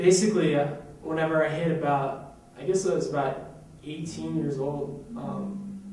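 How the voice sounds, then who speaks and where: Amid noticeable background noise and audible room echo, a man with a fairly high pitch and ordinary pitch variation speaks fairly slowly, with long, frequent pauses. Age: 20s. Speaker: church member giving testimony. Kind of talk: testimony. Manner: halting, many fillers.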